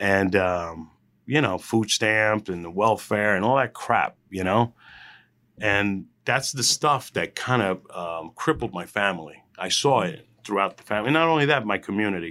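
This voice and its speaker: Speaking at a moderate pace in a New Jersey accent, a man has a fairly low pitch, a bright, sharp tone, lively intonation and big swings in loudness, on a very clean recording with a silent background. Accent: New Jersey American. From New Jersey, Union County (Hillside, Newark). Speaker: food truck and restaurant entrepreneur. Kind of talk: interview. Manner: casual, with many filler words.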